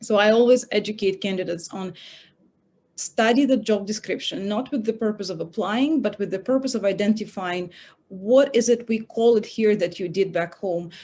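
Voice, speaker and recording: With a Russian accent, a woman talks in a fairly high pitch with a dark, mellow tone. Her pitch variation is ordinary, and the background is quiet. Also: moderate pace. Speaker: recruiter, career panelist. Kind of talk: panel talk. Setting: online event.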